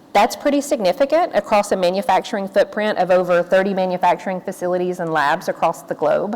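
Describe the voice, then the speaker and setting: A woman speaks with a Tennessee accent. Her pitch is medium. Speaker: corporate sustainability executive, panelist. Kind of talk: panel discussion remarks.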